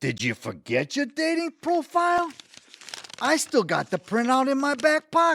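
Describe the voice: Using a put-on character voice, a man talks at a fairly slow pace with an extremely high pitch, very wide pitch swings, vocal fry and a fairly bright tone, in a dry, close sound with no echo.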